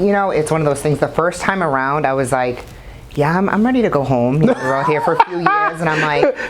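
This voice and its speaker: A woman with a slight Boston accent talks at a very fast pace in a very deep, low pitch. Her intonation is lively, and there is noticeable background noise. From Boston, US. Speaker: bodybuilder. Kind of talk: casual interview.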